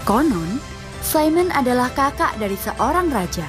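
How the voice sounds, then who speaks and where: A woman is speaking. There is music in the background. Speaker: voice-over narrator. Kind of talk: documentary narration about art.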